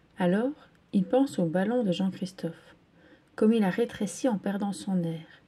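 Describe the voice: Someone reads a text aloud. The reading is plain.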